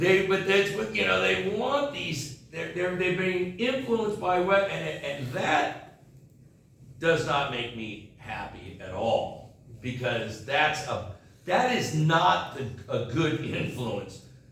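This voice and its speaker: A fairly high-pitched man with an American accent, very slow pace and very wide pitch swings, amid audible room echo and noticeable background noise. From United States. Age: 60s. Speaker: English teacher. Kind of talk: casual talk to students.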